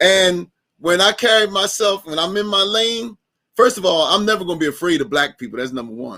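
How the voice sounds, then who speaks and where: A man's raised, projected voice in an American accent, high-pitched and bright and sharp in tone, with lively intonation at a fairly quick pace. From US Northeast, North Camden New Jersey. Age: 50s. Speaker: podcast host. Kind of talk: casual discussion.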